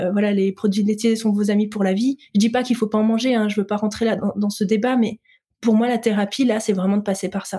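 The tone is dark and mellow, and somewhat breathy. Intonation stays flat and monotone. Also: woman. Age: 30s. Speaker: entrepreneur in healthy eating coaching. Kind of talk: interview conversation.

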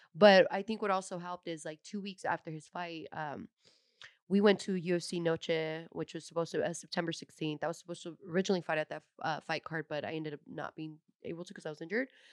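An American-accented woman speaks very fast in a fairly low voice with fairly even intonation and big swings in loudness. The sound is dry and close with no echo, over a quiet background. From San Jose, California. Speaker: professional fighter. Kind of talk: casual chat. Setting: studio.

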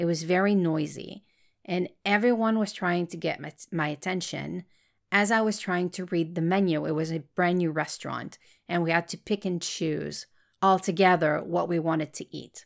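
A woman at a moderate pace, fairly low in pitch, with a slight French Canadian accent, on a very clean recording with a silent background. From Montreal, Quebec. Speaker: podcast host and creator. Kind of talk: casual podcast intro monologue. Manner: excited, chatty.

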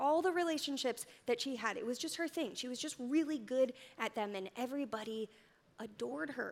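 With an animated tone and lively intonation, a woman talks fairly quickly in a high pitch. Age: 30s. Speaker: church speaker. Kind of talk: sermon.

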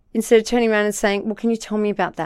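On a very clean recording with a silent background, a woman talks with an Australian accent. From Australia, New South Wales Central Coast. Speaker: political candidate. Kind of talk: interview.

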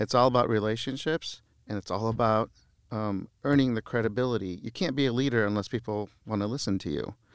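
In a Midwestern US accent, the speaker goes at a fairly quick pace with ordinary pitch variation, recorded very clean and dry, close, with no echo and a silent background. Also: man, medium pitch for a man. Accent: US Midwest. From Lebanon, raised in Iowa from childhood. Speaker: mayor and lawyer. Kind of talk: casual interview chat. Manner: halting, with frequent repeated words.

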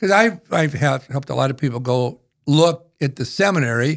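Male voice with an Upper Midwest accent on a very clean recording with a silent background. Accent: Upper Midwest American. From northeastern South Dakota. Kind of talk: interview storytelling. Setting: studio.

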